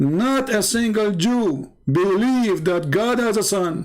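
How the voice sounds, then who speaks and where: A man with an Arabic accent. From Middle East. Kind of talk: live debate talk.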